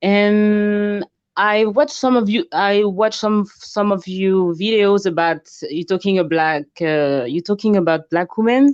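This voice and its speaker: In a French accent, a woman speaks at a fairly slow pace and medium pitch with ordinary pitch variation, the sound dry and close with no echo. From France. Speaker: caller. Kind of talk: call-in conversation. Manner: halting.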